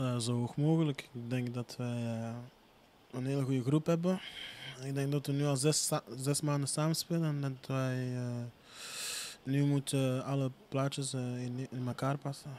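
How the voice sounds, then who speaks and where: A man speaks with a dark, mellow tone and a monotone, flat intonation at a fairly slow pace. He leaves long, frequent pauses over light background noise. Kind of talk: interview answer. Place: street. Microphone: handheld.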